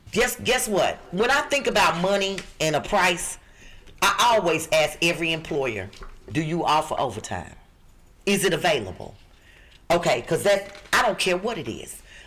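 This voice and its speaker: With long, frequent pauses, a woman of fairly low pitch speaks at a moderate pace in an animated tone, her pitch swinging very widely. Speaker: job recruiter, podcast co-host. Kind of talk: podcast job listings segment.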